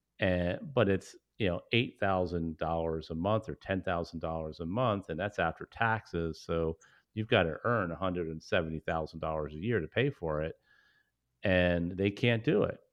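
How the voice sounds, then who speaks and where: At a moderate pace, a man talks with a very deep, low pitch and ordinary pitch variation. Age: 50s. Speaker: small business owner and CEO, podcast co-host. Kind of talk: casual interview chat.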